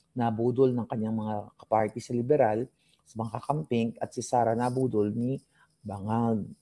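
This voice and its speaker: Quiet, fairly slow speech from a man at a medium pitch with a dark, mellow tone. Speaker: political commentary vlogger. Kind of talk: casual political commentary. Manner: lowered, quieter voice.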